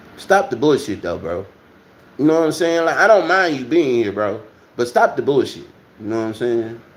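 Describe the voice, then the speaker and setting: Speaking at a moderate pace in an American accent, the voice swings very widely in pitch and pauses long and often. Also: man. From Texas. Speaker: livestream host. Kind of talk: casual livestream chat. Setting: at home.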